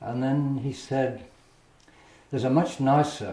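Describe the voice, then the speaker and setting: With an Australian accent, a man speaks at a medium pitch in a room with audible echo. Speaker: painter. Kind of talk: casual storytelling interview. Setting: artist's studio. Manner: halting, with repetitions.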